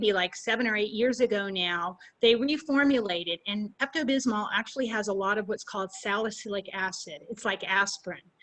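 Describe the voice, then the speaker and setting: Barely pausing, a woman speaks at a fairly high pitch with ordinary pitch variation and a bright, sharp tone. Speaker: pet safety instructor. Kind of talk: webinar presentation and Q&A. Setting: video call webinar. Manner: fast.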